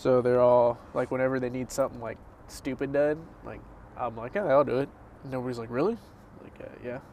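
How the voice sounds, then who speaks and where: A man speaks quietly at a medium pitch, his loudness swinging widely. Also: fairly even intonation, fairly quick pace. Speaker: podcast co-host. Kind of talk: casual chat.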